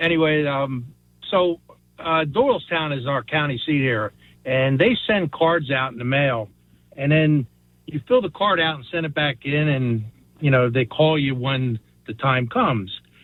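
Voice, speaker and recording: An unremarkable speaking voice from a man, fairly high in pitch, at a fairly slow pace with ordinary pitch variation. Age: 60s. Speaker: caller. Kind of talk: phone-in anecdote.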